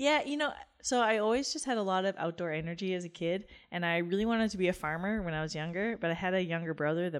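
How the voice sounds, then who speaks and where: A woman's medium-pitched voice at a very fast pace, with lively intonation. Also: quiet background. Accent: western Canadian. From rural Alberta, Canada. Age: 30s. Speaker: professional cyclist. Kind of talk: interview.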